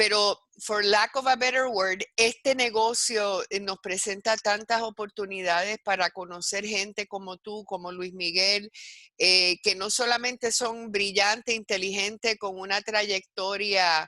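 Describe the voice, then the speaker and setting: Bright, sharp tone in a Puerto Rican accent, fairly slow pace and fairly even intonation, with a dry, close sound and no echo. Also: woman, medium pitch for a woman. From Puerto Rico. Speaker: university educator in advertising. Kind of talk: interview presentation. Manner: halting, many fillers.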